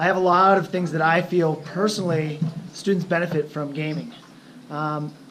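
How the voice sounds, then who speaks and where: A man speaks in a normal speaking voice at a moderate pace, with a fairly high pitch and fairly even intonation. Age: 40s. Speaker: teacher. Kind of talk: presentation.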